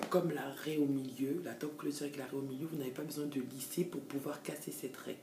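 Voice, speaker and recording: Very deep and low in pitch, a woman talks at a moderate pace. Audible room echo and noticeable background noise are present. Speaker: hair extension seller and stylist. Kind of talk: tutorial. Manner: hesitant, many fillers.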